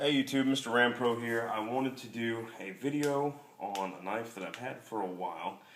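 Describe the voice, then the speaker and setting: A man at a moderate pace, with ordinary pitch variation, big swings in loudness, audible room echo, and noticeable background noise. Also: medium pitch for a man. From Alabama. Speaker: knife reviewer. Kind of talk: product review. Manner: casual, with many fillers.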